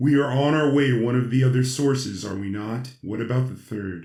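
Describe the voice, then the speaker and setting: A man puts on a character voice at a medium pitch, moving at a fairly quick pace. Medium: audio drama. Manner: precise, calculating.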